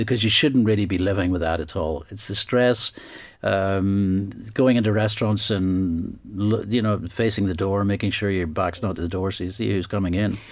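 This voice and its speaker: This man has a Northern Irish accent and a fairly low pitch. He speaks at a moderate pace with fairly even intonation. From Northern Ireland. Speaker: investigative journalist and author. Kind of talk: interview. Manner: halting.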